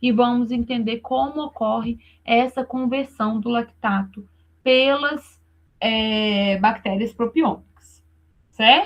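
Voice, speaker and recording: A woman talks in a normal speaking voice at a fairly slow pace. Her pitch is fairly high, with ordinary pitch variation. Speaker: university lecturer. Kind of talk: online lecture.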